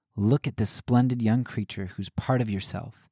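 A man with an American accent speaks in a dark, mellow tone and fairly even intonation, recorded with a dry, close sound and no echo. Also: very clean recording, silent background. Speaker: podcast host. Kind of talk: dramatic narration reading aloud a letter. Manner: thoughtful, conversational, slightly hesitant.

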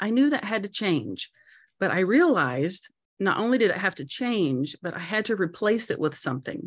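A woman's medium-pitched voice with vocal fry and very wide pitch swings at a moderate pace, in a very clean recording with a silent background. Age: 50s. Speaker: motivational speaker and business owner. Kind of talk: interview testimony.

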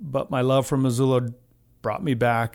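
A man speaks at a medium pitch on a very clean recording with a silent background. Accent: American. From New Mexico, US. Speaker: community soccer organizer. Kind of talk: casual chat. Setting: studio. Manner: halting.

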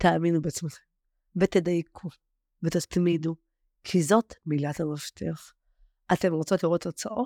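A woman's dark, mellow, fairly low voice at a fairly slow pace, broken by long, frequent pauses, with a dry, close sound and no echo. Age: 40s. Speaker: former client of a weight-loss program. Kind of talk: interview.

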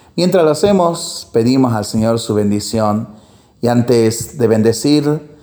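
A man with a medium pitch talks very slowly. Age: 40s. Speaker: priest. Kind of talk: reading aloud; blessing.

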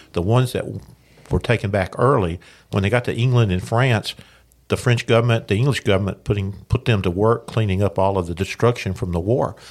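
The speaker goes at a fairly quick pace with ordinary pitch variation. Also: man, fairly low pitch for a man. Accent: Tennessee. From Lawrence County, Tennessee. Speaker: history teacher and local historian. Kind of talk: interview. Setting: studio.

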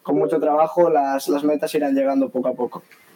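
A man talks at a fairly high pitch. There is noticeable background noise. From Spain, Galicia. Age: young. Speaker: taekwondo athlete. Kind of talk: interview. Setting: video call from home. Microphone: delay on connection.

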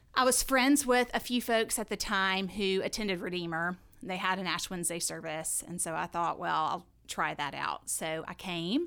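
With a Southern US accent, a woman speaks at a moderate pace and a medium pitch, her tone bright and sharp. Her intonation is lively, and the recording is very clean with a silent background. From US South, south Alabama. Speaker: church member and women's ministry deacon. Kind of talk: casual chat.

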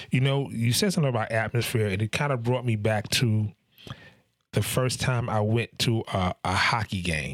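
An animated, upbeat delivery at a moderate pace, with ordinary pitch variation, very even loudness, and a dry, close sound with no echo. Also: man, medium pitch for a man. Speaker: podcast host. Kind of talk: casual interview chat.

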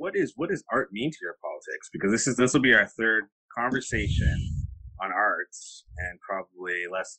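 At a moderate pace, a man with a Canadian accent speaks at medium pitch with very wide pitch swings, a bright, sharp tone and vocal fry, in a dry, close sound with no echo. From Kitchener, Ontario, Canada. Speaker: artist and curator. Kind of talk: interview conversation.

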